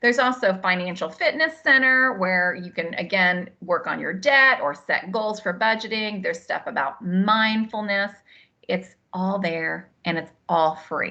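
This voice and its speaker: The voice has a bright, sharp tone and lively intonation, moving at a fairly slow pace. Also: woman, medium pitch for a woman. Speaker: head of people services presenting to staff. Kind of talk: webinar presentation.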